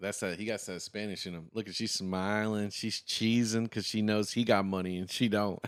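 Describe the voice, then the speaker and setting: A man with an American accent speaks in a fairly low voice at a moderate pace, animated and with hardly any pauses, on a very clean recording with a silent background. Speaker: reaction video host. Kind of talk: reaction commentary.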